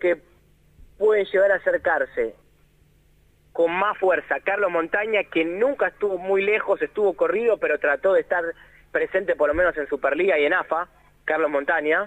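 A man speaks with a Rioplatense accent. His pitch is high. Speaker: sports journalist. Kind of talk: radio report.

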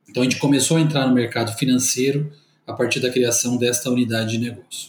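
This man's voice comes across as somewhat breathy. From Brazil, interior of São Paulo state. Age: 40s. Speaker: company executive. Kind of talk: corporate interview. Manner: formal.

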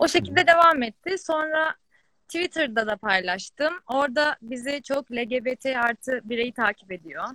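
A woman's raised, projected voice, high in pitch and bright and sharp in tone, with lively intonation at a moderate pace, in a dry, close sound with no echo. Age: 20s. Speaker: fashion entrepreneur. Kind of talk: casual chat.

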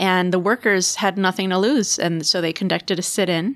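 This is an unremarkable speaking voice with fairly even intonation at a moderate pace. The recording is very clean, with a silent background. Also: woman. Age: 30s. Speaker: political campaign volunteer. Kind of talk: casual political interview.

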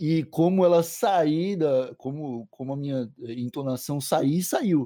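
A man's dark, mellow voice, fairly high in pitch, with ordinary pitch variation and a dry, close sound with no echo. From Santa Catarina coast, Brazil (Palhoça). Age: 20s. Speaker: cannabis podcaster. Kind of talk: casual interview chat.

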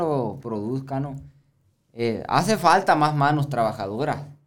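Audible room echo accompanies a man talking with ordinary pitch variation. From Baviácora, Sonora, Mexico. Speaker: rancher and chiltepin grower. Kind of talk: casual conversation.

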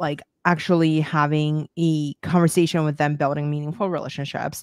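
Recorded very cleanly against a silent background, a woman speaks at a moderate pace in a fairly low voice. The sound is dry and close with no echo, and she has an unremarkable speaking voice. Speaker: podcast host. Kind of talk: casual interview. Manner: filler-heavy, casual.

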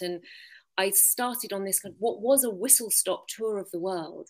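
A woman speaks with an English accent. The recording is very clean, with a silent background. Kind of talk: interview.

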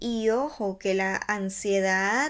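The voice has a warm tone and moves at a very slow pace. The recording is very clean, and the background is silent. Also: woman. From Ecuador. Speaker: podcast host. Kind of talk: reflective solo podcast monologue. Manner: warm, conversational.

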